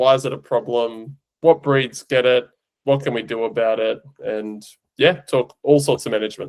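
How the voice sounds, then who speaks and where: A man's medium-pitched voice with an Australian accent, at a moderate pace with ordinary pitch variation. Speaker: veterinary eye specialist, podcast host. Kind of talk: casual podcast chat, technical explanation.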